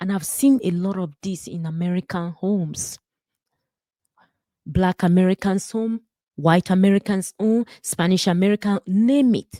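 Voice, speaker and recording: With a Nigerian accent, a woman speaks at a fairly slow pace in a medium pitch with a dark, mellow tone, captured in a very clean recording with a silent background and a dry, close sound with no echo. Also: ordinary pitch variation. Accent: Nigerian, noticeable. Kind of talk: personal testimony with sermon-style reflection.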